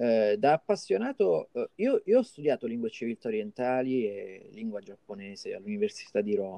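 A man speaks at a medium pitch and a moderate pace, with very wide pitch swings. His tone is dark and mellow, and the sound is dry and close with no echo. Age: 40s. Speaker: comic artist and translator. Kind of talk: casual interview.

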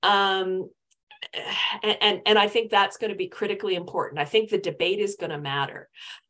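Speaking in a Canadian accent, a woman uses a medium pitch and a bright, sharp tone with ordinary pitch variation at a moderate pace. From Canadian Prairies, Winnipeg. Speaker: political scientist, professor. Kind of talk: casual interview.

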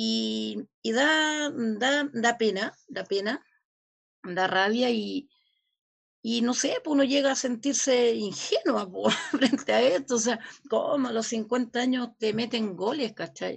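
Very slow speech from a woman, fairly high in pitch and with ordinary pitch variation. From Chile. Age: 50s. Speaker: community leader. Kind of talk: interview.

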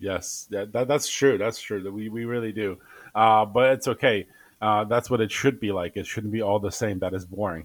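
The recording is very clean, with a silent background. A man with an unremarkable speaking voice talks at a moderate pace, using a fairly low pitch and fairly even intonation. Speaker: podcast co-host. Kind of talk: casual chat. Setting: home studio in basement.

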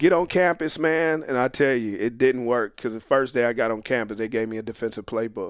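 An unremarkable speaking voice with an American accent moves at a fairly quick pace with hardly any pauses and ordinary pitch variation. The recording is very clean, with a silent background. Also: man, medium pitch for a man. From Phoenix, Arizona (South Phoenix). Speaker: former football player and coach. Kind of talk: casual interview.

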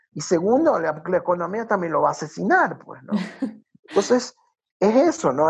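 A man with a coastal Ecuadorian accent, high pitch and very wide pitch swings. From Ecuador, Guayaquil. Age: 50s. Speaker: tourism consultant and nature guide. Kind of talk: casual interview.

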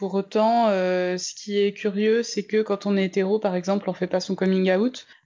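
This woman talks with monotone, flat intonation and hardly any pauses. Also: medium pitch for a woman, moderate pace. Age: 20s. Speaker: interviewee sharing coming-out story. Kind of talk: testimony. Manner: hesitant, many fillers.

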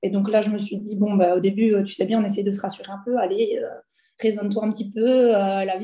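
Fairly quick and monotone, a woman speaks with a flat intonation at a fairly high pitch, her tone dark, mellow, and somewhat breathy. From Belgium. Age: 20s. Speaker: former physiotherapist turned entrepreneur. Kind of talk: personal testimony. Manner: hesitant, many fillers.

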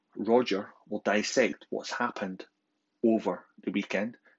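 Here a man speaks with a Scottish accent. His pitch is fairly low and his pace moderate. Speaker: podcast host. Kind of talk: podcast announcement.

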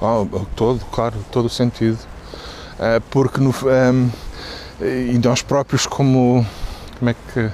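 A man's monotone, flat delivery at a very slow pace, with long, frequent pauses and noticeable background noise. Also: medium pitch for a man, very even loudness. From Portugal. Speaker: marketing executive. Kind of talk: interview. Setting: outdoors, walking in a park.

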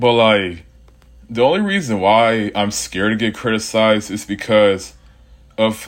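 A man with a normal speaking voice talks slowly-ish at a fairly low pitch, keeping fairly even intonation on a very clean recording with a silent background. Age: 20s. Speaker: podcast host. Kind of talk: casual solo monologue. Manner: casual, rambling conversational.

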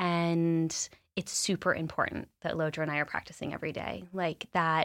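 In a very clean recording with a silent background, a woman with an American accent speaks at a fairly low pitch in a monotone, flat intonation. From Los Angeles, US. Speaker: meditation studio founder. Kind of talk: interview.

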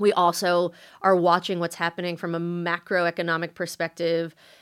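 On a very clean recording with a silent background, a woman with a New York accent speaks at a fairly low pitch and moderate pace. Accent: American, New York area. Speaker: venture capital investor. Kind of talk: interview.

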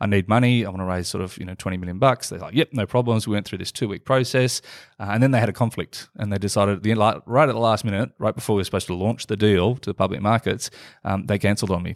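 A very fast-talking man with an Australian accent and a fairly low pitch, fairly even intonation, dry, close sound with no echo and a very clean recording with a silent background. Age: 40s. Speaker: entrepreneur and investor. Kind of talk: casual interview.

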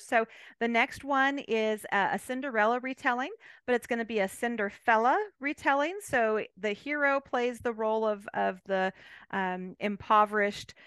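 A woman with an American accent speaks at a moderate pace and a fairly high pitch. Her tone is bright and sharp, with ordinary pitch variation. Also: dry, close sound with no echo, quiet background. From California. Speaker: novelist. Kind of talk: interview.

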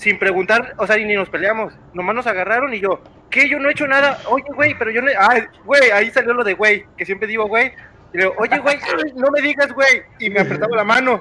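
In a raised, projected voice at an extremely high pitch, a man talks at a fairly quick pace with ordinary pitch variation amid noticeable background noise. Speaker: podcast panel member. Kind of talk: casual chat.

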